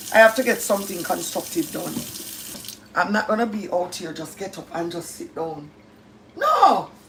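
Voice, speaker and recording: A woman talks in a strong Jamaican accent with an animated tone. Noticeable background noise runs beneath her. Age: 50s. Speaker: live-stream host. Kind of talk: casual chat. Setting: live stream.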